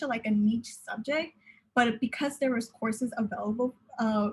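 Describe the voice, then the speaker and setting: A woman with an American accent. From Southern California (Pomona). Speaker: university student panelist. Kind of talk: panel discussion. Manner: halting, many fillers.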